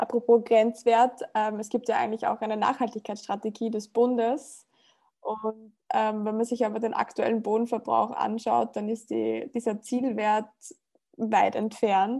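In a dark, mellow tone, a woman speaks at a fairly high pitch and a fairly slow pace with monotone, flat intonation. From Upper Austria, rural. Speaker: podcast host. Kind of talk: interview.

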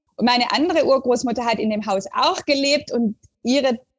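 This woman speaks at a high pitch. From southern Germany (Stuttgart area). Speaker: literature professor. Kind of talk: academic interview. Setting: remote call.

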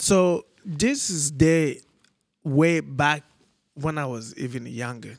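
A man with a fairly high pitch and ordinary pitch variation speaks at a very slow pace, with long, frequent pauses and big swings in loudness. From Togo. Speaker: charity co-founder. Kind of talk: casual chat. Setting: recorded on a trip in Togo.

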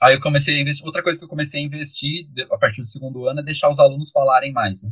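A somewhat breathy man talks at a very fast pace. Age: 20s. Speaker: public school sociology teacher. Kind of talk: interview. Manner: long-winded.

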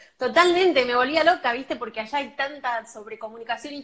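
This woman talks at a fairly quick pace with a high pitch. Her pitch varies an ordinary amount. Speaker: film and series communicator. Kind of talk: interview. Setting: live stream.

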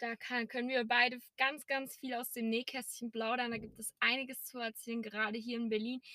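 A woman speaks at a fairly quick pace in a high, bright, sharp voice with flat, monotone intonation. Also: hardly any pauses. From Erzgebirge, Saxony, Germany. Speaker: podcast co-host. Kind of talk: casual chat. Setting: in a car.

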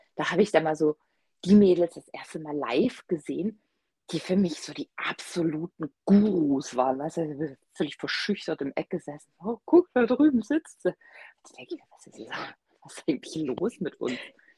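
With a dark, mellow tone and a fairly low pitch, a woman talks at a moderate pace with lively intonation and big swings in loudness, in a dry, close sound with no echo. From Swabia, Germany. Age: 30s. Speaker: knitter, guest co-host. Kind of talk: casual chat.

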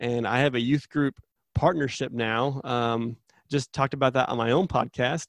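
The speaker has an American accent and a moderate pace with fairly even intonation. The recording is very clean with a silent background, and the sound is dry and close with no echo. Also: man, medium pitch for a man. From Arizona, US. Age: 30s. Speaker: youth minister. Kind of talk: interview. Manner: halting, many fillers.

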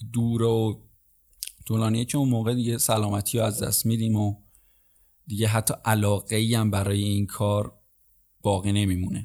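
The tone is dark and mellow, with monotone, flat intonation. Loudness stays very even, broken by long, frequent pauses. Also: man, fairly low pitch for a man, moderate pace. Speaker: podcast host. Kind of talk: casual solo podcast monologue.

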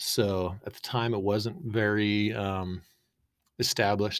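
A man with an American accent uses a normal speaking voice and fairly even intonation on a very clean recording with a silent background. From Boise, Idaho, US. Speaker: business co-founder. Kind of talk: casual interview.

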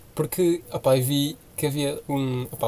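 A man with ordinary pitch variation over noticeable background noise. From Portugal, Porto area (Senhora da Hora). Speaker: podcast co-host. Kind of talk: casual chat.

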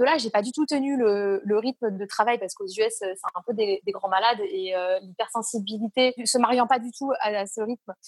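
A woman with a plain, everyday voice, ordinary pitch variation, and a dry, close sound with no echo. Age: 30s. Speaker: entrepreneur, founder of a support network. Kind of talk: casual interview.

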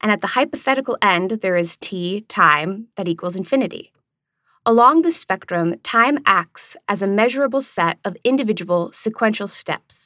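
A woman with a medium-pitched, bright, sharp voice speaks in a calm tone, the sound dry and close with no echo. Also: lively intonation, moderate pace. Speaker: essay author and narrator. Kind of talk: audiobook reading of an essay, scripted academic narration. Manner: even, lecture-like, calm.

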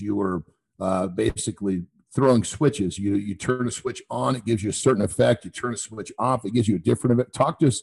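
Using a plain, everyday voice, a man speaks at a fairly low pitch with lively intonation. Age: 50s. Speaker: podcast host. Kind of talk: interview.

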